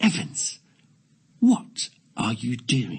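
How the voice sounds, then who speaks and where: This is a put-on character voice. Its pitch sits low-to-middle. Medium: read story. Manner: through gritted teeth.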